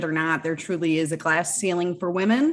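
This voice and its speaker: With an American accent, a woman talks at a medium pitch in an unremarkable speaking voice. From Michigan, US Midwest. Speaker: cannabis entrepreneur and author. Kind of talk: podcast interview.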